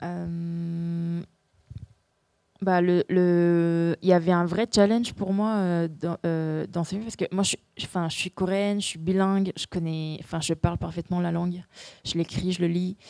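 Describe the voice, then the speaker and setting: A woman's fairly low voice, dark and mellow, in a monotone, flat intonation at a fairly slow pace, with a dry, close sound and no echo. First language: Korean (speaking French). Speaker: actress. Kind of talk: festival Q&A. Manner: halting, many repetitions and hesitations.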